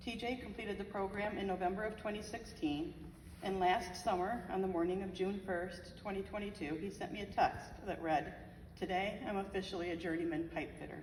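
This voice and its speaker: With an American accent, a woman talks at a fairly quick pace and with fairly even intonation, with audible room echo and noticeable background noise. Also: medium pitch for a woman. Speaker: bereaved mother. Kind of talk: memorial speech. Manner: fast.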